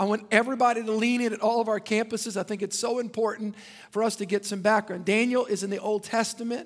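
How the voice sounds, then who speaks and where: In an animated tone, a high-pitched man talks at a very fast pace. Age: 50s. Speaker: pastor. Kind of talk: sermon. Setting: church.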